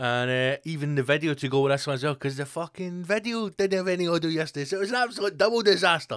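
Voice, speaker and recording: The man's intonation is lively, and the background around him is quiet. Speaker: podcast host. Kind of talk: casual podcast monologue. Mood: jokey, swearing, upbeat. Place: studio. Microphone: studio mic.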